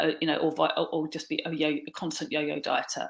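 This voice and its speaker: A woman's fairly low voice at a fairly quick pace. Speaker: weight loss coach and yoga teacher. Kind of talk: talking-head coaching talk. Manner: hesitant, many fillers and restarts.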